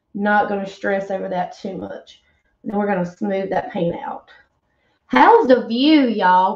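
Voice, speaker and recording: With a Southern US accent, a woman speaks in an animated tone at a fairly slow pace, with audible room echo over a quiet background. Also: big swings in loudness. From US South. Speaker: craft painter and online seller. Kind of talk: casual live-stream chat while painting. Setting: live stream, wearing earbuds. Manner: friendly, chatty, animated. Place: home room.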